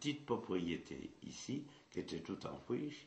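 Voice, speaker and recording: This man's voice is medium in pitch with vocal fry and very wide pitch swings. Room echo is audible around him. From central France, Puy-de-Dôme. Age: 80s+. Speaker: traditional hurdy-gurdy musician. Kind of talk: interview, life story. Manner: halting, with repetitions.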